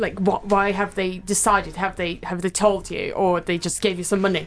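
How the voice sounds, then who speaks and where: Noticeable background noise runs through the clip. A woman is the one speaking. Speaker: podcast co-host, research student. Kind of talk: interview.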